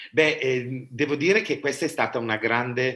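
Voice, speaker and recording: A man's bright, sharp tone at a fairly slow pace. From Italy, Bergamo. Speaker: opera artistic director and director. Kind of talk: interview. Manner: hesitant, many fillers.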